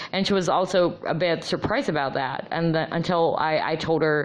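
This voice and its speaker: A woman with an American accent, very deep and low in pitch, at a moderate pace. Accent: American-sounding. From Philippines. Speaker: vlogger, former call center agent. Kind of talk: casual monologue. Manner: halting, many fillers.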